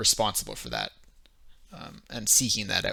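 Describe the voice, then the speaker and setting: A man talks in a bright, sharp tone. He has a strong Canadian accent. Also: very clean recording, silent background. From Canada. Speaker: streamer leading worldbuilding session. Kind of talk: casual live stream chat. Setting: live stream. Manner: hesitant, many fillers.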